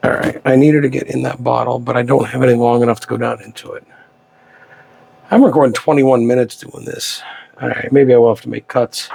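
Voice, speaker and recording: The speech comes at a very fast pace with big swings in loudness, over noticeable background noise. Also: man. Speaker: tarantula keeper and enclosure builder. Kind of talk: casual hands-on video commentary. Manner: halting; whispering.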